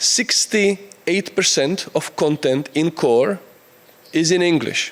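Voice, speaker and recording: A man with a Czech accent speaks with ordinary pitch variation over noticeable background noise. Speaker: conference speaker. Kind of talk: conference talk. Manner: halting.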